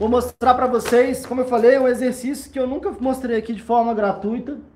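A man speaks at an extremely high pitch with ordinary pitch variation. His pace is moderate. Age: 30s. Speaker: podcast host, anxiety coach. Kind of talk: tutorial; motivational talk.

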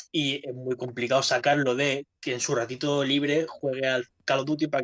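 Talking fairly quickly with hardly any pauses, a man keeps a medium pitch and monotone, flat intonation. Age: 30s. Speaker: gaming podcast co-host. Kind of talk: casual chat.

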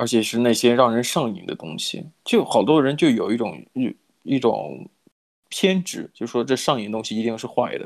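Over a silent background in a very clean recording, a man speaks at medium pitch and a moderate pace, with lively intonation and big swings in loudness. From mainland China. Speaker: podcast co-host. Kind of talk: casual chat. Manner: hesitant, many filler sounds.

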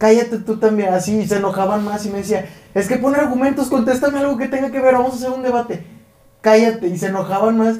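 A man with a Mexican accent talks at a fairly quick pace with ordinary pitch variation, over noticeable background noise and audible room echo. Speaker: podcast co-host. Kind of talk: casual chat.

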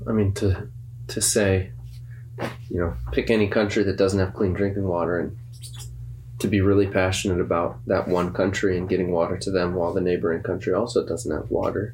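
A man with a very deep, low pitch and vocal fry talks at a fairly quick pace amid audible room echo. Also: lively intonation. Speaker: church podcast co-host. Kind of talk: casual chat.

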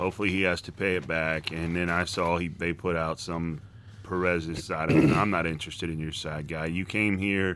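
With an American accent, a man talks at a fairly quick pace in a very deep, low voice and a monotone, flat intonation. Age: 40s. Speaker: sports podcast co-host. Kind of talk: casual chat.

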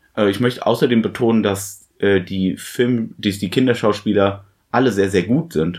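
A man's normal speaking voice, fairly low in pitch, with very even loudness, a moderate pace and ordinary pitch variation. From Germany, small town. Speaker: film podcast host. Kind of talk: casual chat.

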